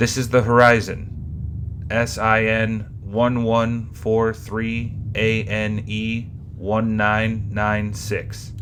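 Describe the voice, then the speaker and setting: Through clear background noise, a man puts on a character voice and speaks at a very slow pace. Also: medium pitch for a man. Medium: read story.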